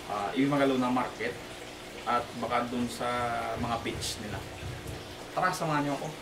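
A man talks with ordinary pitch variation while noticeable background noise runs behind him. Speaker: vlogger. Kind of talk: casual vlog chat. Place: garage.

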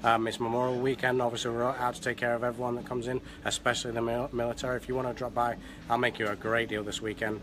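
Against noticeable background noise, a man speaks very fast with a flat, monotone intonation. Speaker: car salesman. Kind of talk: short promo spiel on camera. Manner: hesitant, filler-heavy, halting. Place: shop. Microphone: phone near.

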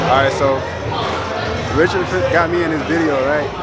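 Very fast speech over crowd noise in the background. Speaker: guest. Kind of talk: casual vlog chat. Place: studio. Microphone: phone near.

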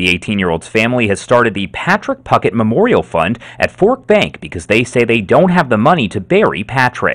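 Against a quiet background, a man talks at a fairly quick pace with very wide pitch swings and hardly any pauses. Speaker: TV news reporter. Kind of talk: TV news reporter delivery. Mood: somber, measured.

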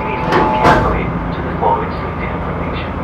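Someone talks at a very fast pace over loud background noise. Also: man. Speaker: ferry safety announcer. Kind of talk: public safety announcement. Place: boat.

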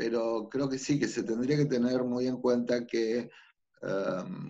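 Very slowly, a man talks over a quiet background. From Buenos Aires, Argentina; Argentina. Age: 50s. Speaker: figure skating coach. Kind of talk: interview. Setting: remote call. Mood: calm, reflective. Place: home room. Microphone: video call.

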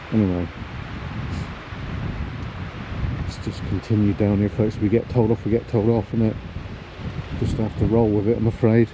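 Speech unfolds at a moderate speed while background noise is clearly heard. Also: man, dry sound with no echo. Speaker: walking vlogger. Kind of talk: casual vlog chat. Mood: light-hearted, self-mocking. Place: open country. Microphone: phone near.

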